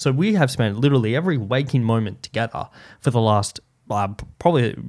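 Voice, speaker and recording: Recorded very cleanly against a silent background, a man speaks with an Australian accent. His medium pitch moves with ordinary variation at a fairly quick pace. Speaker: podcast host. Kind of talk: casual chat. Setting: home studio. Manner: loud.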